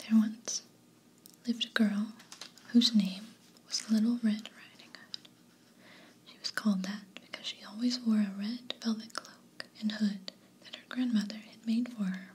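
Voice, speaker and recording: A soft-spoken woman whispers at a fairly slow pace with long, frequent pauses and big swings in loudness. Noticeable background noise sits behind her. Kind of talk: bedtime story reading. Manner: whispered, soft-spoken.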